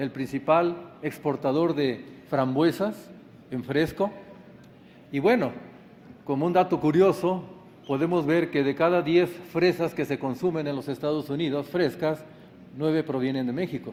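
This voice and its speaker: This man's voice sits fairly high in pitch with ordinary variation, moving at a fairly slow pace with long, frequent pauses. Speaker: agronomy lecturer. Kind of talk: conference talk.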